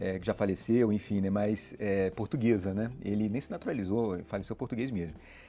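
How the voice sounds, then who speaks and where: Hardly any pauses break up this dark, mellow-toned voice. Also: man, fairly low pitch for a man, ordinary pitch variation. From Rio de Janeiro, Brazil (born São Paulo). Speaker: financial regulator official. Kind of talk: interview. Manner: many fillers (né, é), hesitant.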